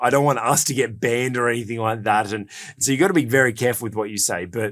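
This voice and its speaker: A man with an Australian accent speaks at a very fast pace on a very clean recording with a silent background. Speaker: podcast host and executive coach. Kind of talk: casual podcast discussion. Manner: hesitant, many fillers and repetitions.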